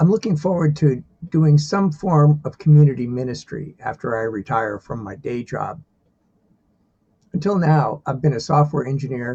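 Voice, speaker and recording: A man talks at a moderate pace in a fairly high, dark and mellow voice. It sounds somewhat breathy, with ordinary pitch variation. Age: 60s. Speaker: divinity student and software engineer. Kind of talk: self-introduction video.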